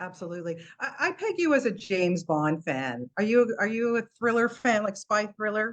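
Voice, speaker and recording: A woman's fairly high voice with very wide pitch swings, a moderate pace and hardly any pauses, over a quiet background. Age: 60s. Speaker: entertainment interviewer. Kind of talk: interview. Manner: animated.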